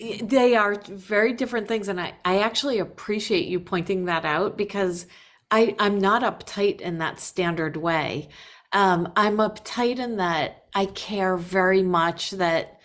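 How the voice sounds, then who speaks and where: The speech moves at a fairly slow pace with ordinary pitch variation. The recording is very clean, with a silent background. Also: woman, medium pitch for a woman. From US Northeast, Worcester, Massachusetts. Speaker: record label executive. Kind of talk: casual interview.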